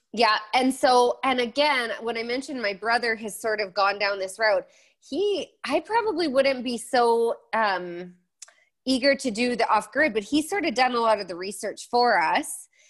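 In a western Canadian accent, a woman speaks with high pitch and lively intonation. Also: moderate pace. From Alberta, Canada. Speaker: blogger and designer. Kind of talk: interview.

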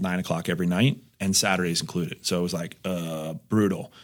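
Heard in a very clean recording with a silent background, a man with a plain, everyday voice and an American accent talks at a fairly quick pace with fairly even intonation. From New Jersey. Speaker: insurance agent. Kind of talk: casual interview.

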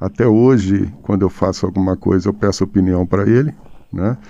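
A man speaks with a dark, mellow tone at a fairly low pitch. The background is quiet. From Brazil, northern Minas Gerais (Pirapora). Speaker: singer-songwriter and poet. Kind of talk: interview. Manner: halting, many repetitions.

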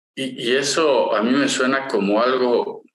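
Through audible room echo, a man speaks at a very slow pace. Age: 50s. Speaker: podcast co-host, industrial engineer. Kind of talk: casual chat.

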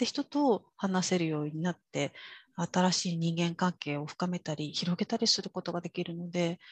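Recorded dry and close with no echo, a woman speaks somewhat breathily at a moderate pace with a fairly low pitch. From Kyushu, Japan (rural). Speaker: interpreter and executive coach. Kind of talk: interview.

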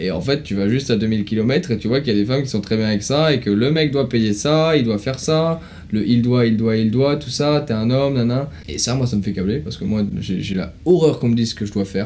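Amid noticeable background noise, a man at a medium pitch talks at a fairly quick pace with ordinary pitch variation and hardly any pauses. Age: 20s. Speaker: podcast guest. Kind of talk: casual chat.

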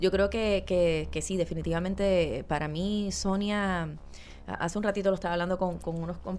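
Spoken in a Puerto Rican accent at a moderate pace, the voice is monotone and flat, with audible room echo. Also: woman. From Puerto Rico, Guayama (south). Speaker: actress. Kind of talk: casual interview.

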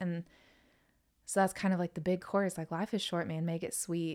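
A Southern US accent in a very clean recording with a silent background. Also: woman. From North Carolina. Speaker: country music singer. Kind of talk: casual chat.

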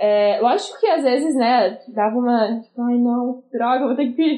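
A woman's high-pitched voice moves at a moderate pace, its pitch varying in an ordinary way. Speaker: music student with type 1 diabetes. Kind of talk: casual chat.

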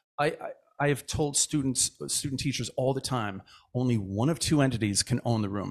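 Here a man speaks fairly quickly in an unremarkable speaking voice. His pitch sits in the medium range with ordinary variation. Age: 50s. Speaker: choir director and music educator. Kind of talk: casual chat.

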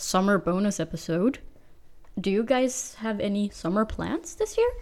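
Speaking at a fairly slow pace with a Danish accent, a woman uses lively intonation at a medium pitch. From Denmark. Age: 20s. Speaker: university student podcast host. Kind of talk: casual chat. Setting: studio.

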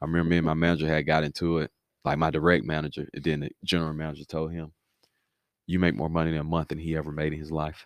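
At a very fast pace, a man with an American accent talks in a very deep, low pitch with monotone, flat intonation. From Alabama, US South. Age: 30s. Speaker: entrepreneur and guest. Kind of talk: casual explanatory talk.

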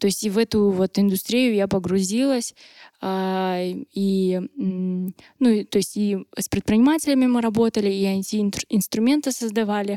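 A woman speaks at medium pitch with ordinary pitch variation. Her tone is dark and mellow. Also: dry, close sound with no echo. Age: 20s. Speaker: entrepreneur, drinks producer. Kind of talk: podcast interview.

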